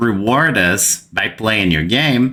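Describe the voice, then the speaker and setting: With a Brazilian accent, a man speaks at a very slow pace in a bright, sharp tone, his pitch swinging very widely. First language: Portuguese. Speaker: gaming youtuber. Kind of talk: gaming commentary rant. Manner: animated.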